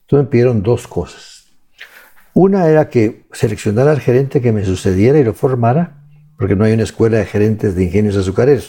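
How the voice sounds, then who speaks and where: This man has a medium pitch and a dark, mellow tone. He speaks at a fairly quick pace with lively intonation. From Guatemala, Huehuetenango. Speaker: economist and author. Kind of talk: interview. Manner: halting, many repetitions.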